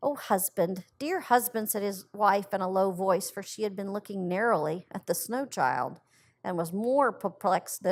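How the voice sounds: In a natural reading voice, the pitch rises and falls in an ordinary way.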